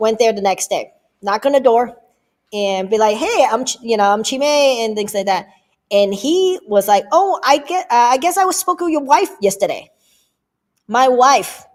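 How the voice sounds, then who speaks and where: With an American accent, a woman talks at a moderate pace, her fairly high pitch swinging very widely. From US West Coast, Oakland California. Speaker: livestream host and real estate agent. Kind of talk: live Q&A chat. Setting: livestream.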